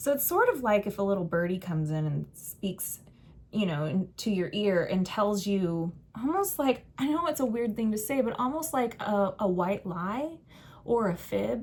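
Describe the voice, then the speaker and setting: A woman speaks at a moderate pace with a medium pitch and a somewhat breathy voice. Her pitch swings very widely. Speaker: tarot reader. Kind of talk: tarot reading. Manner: conversational, warm.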